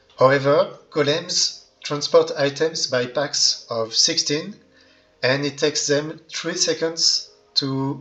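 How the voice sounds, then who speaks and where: Noticeable background noise sits under a man speaking. He has a non-native accent and a very slow pace. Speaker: Minecraft redstone tutorial creator. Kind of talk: game tutorial narration. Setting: low-quality microphone.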